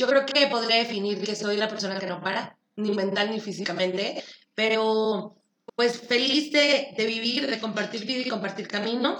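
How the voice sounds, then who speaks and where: Audible room echo surrounds a woman's fairly high-pitched voice. Her tone is bright and sharp, and her pace is fairly slow. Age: 30s. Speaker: podcast co-host, insurance saleswoman. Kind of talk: casual chat.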